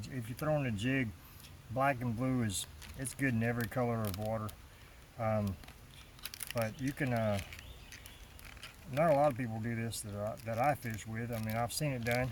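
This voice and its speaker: Amid noticeable background noise, a man of medium pitch talks at a moderate pace, with long, frequent pauses. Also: fairly even intonation. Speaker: fishing channel host. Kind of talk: product unboxing. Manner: casual, halting with fillers.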